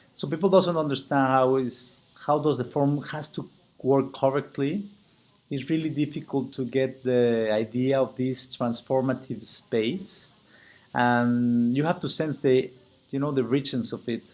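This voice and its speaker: In a very clean recording with a silent background, a man talks in a Spanish accent. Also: medium pitch for a man, ordinary pitch variation. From Mexico. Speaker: business owner and chapter president. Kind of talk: membership application video. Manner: halting, with frequent repetitions.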